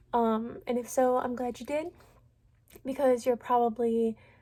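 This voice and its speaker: A plain, everyday voice, this woman speaks fairly high and fairly slowly with fairly even intonation, in a very clean recording with a silent background. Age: 20s. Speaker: vlogger sharing illness story. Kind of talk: personal testimony vlog. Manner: casual with frequent filler words.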